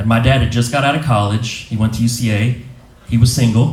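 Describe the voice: Audible room echo surrounds a man speaking at a fairly quick pace. His medium-pitched voice has a slightly mellow tone and fairly even intonation.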